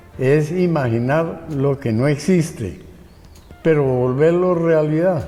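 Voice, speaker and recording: Amid noticeable background noise and audible room echo, a man speaks very slowly at a fairly high pitch with ordinary pitch variation. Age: 90s. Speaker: industrial designer and architect. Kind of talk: interview.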